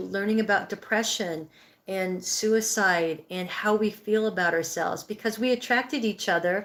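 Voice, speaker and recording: A woman with a fairly high pitch talks at a fairly slow pace in an ordinary speaking voice. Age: 60s. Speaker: livestream host, healing and breathwork coach. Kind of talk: live stream chat reading viewer comments. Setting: live stream.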